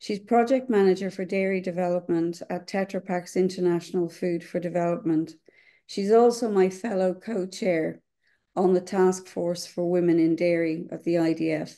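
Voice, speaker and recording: A woman's dark, mellow tone at a moderate pace, with fairly even intonation and a quiet background. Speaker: webinar moderator. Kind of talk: webinar introduction. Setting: video call. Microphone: webcam.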